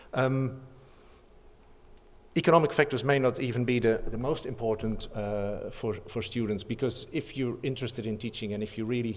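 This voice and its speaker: A man talks at a medium pitch. His pace is moderate and his intonation fairly even. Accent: Dutch. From Netherlands. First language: Dutch. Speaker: professor. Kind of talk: conference talk. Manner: halting.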